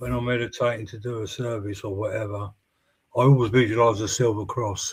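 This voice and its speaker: A man speaks at a fairly quick pace with monotone, flat intonation and a somewhat breathy sound. His loudness swings widely. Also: medium pitch for a man. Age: 60s. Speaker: spiritualist medium, show host. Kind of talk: casual chat.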